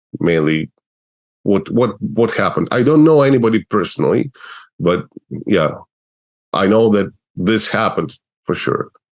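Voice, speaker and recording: This speaker has an Eastern European accent, vocal fry, lively intonation and very even loudness, moving at a moderate pace with long, frequent pauses. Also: man. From Russia. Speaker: animator, video creator. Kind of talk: interview.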